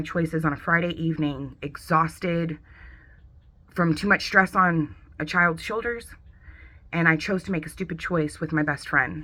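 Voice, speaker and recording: This woman's voice sits fairly low and sounds bright and sharp, moving at a moderate pace with fairly even intonation. The recording is very clean, with a silent background. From US West Coast, San Diego, California. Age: 30s. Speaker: veteran and college student. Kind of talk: personal testimony.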